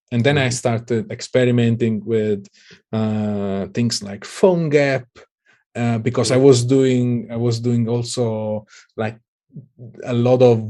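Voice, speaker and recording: A man with an Italian accent speaks at a fairly slow pace, with a medium pitch and fairly even intonation. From southern Italy. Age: 30s. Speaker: Android developer. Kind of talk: interview.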